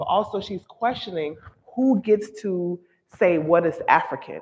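A woman's fairly low-pitched voice at a fairly slow pace, with ordinary pitch variation. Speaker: museum studies professor and exhibition co-curator; museum studies professor. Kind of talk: gallery talk. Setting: museum gallery with audience. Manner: calm yet firm. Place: hall.

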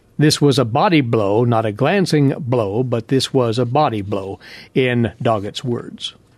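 A plain, everyday voice at a fairly slow pace, with ordinary pitch variation and a quiet background. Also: man, medium pitch for a man. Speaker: farm radio host. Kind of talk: radio program hosting. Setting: studio.

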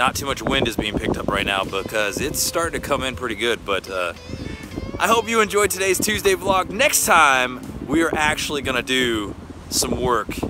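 Background music runs throughout. Over it, a man speaks at a moderate pace. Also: dry sound with no echo. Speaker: car vlogger. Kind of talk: casual vlog chat. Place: waterside. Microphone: phone near.

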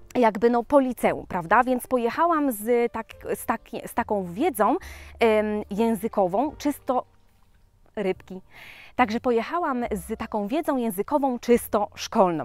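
With a dry sound and no echo, a woman speaks at a fairly high pitch and a fairly slow pace, her loudness swinging widely between long, frequent pauses. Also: lively intonation. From Poland. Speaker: vlogger. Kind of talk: casual chat. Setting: outdoors. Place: forest. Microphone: phone near.

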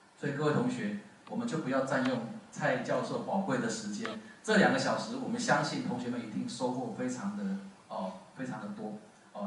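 A man speaks at a fairly quick pace amid audible room echo and light background noise. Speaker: event host introducing the speaker. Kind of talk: formal introduction speech. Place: classroom.

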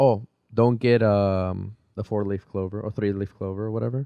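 At a moderate pace, a man speaks at a fairly low pitch in a dark, mellow tone with monotone, flat intonation, the sound dry with no echo over a quiet background. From Peru, raised partly in Boston. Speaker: podcast guest, friend of host. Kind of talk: casual chat. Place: studio. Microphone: studio mic.

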